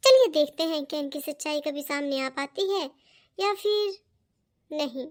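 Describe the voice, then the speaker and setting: In a high-pitched cartoonish character voice, the speaker leaves long, frequent pauses on a very clean recording with a silent background. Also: moderate pace. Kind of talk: moral-story narration. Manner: explanatory.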